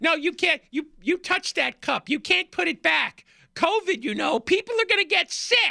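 A squeaky, extremely high-pitched put-on character voice comes through on a very clean recording with a silent background. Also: moderate pace. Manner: bossy, scolding.

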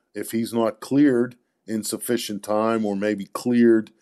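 A man speaks in an ordinary speaking voice at medium pitch and a fairly slow pace. His intonation stays fairly even against a quiet background. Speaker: sports magazine editor answering fan questions. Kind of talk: casual sports Q&A conversation.

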